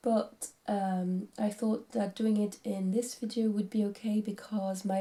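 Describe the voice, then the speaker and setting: Speaking with a French accent, a woman has a fairly high, somewhat breathy voice with a dark, mellow tone. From France. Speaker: craft vlogger. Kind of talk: casual vlog talk. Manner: hesitant.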